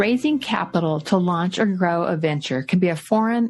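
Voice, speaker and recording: An everyday voice keeps a moderate pace. Its intonation is lively, and it is a plain, everyday voice. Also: woman. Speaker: podcast host. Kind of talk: podcast intro.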